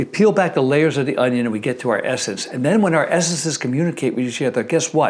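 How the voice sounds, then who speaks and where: A man talks very rapidly in a fairly high register, his intonation lively, while background noise is clearly audible. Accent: American. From Connecticut. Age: 70s. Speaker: dentist and dental educator. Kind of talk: motivational talk to camera. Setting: filmed video.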